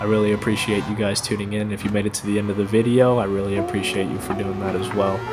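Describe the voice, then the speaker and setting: A man at a very fast pace with hardly any pauses, fairly low-pitched and monotone with flat intonation, against audible room echo and noticeable background noise. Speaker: sim racing gamer, soldier. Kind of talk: gameplay commentary. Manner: halting, with pauses and stumbles; casual, many fillers.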